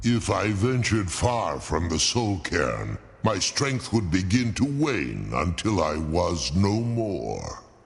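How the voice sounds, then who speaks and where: In a put-on character voice, the speaker goes at a fairly slow pace with hardly any pauses. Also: man, fairly low pitch for a man. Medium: video game. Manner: slow, formal, dignified.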